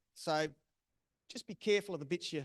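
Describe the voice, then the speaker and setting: A man with an Australian accent speaks at a fairly high pitch. His pitch variation is ordinary, and the sound is dry and close with no echo. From South Australia. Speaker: bird breeder presenter. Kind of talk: presentation.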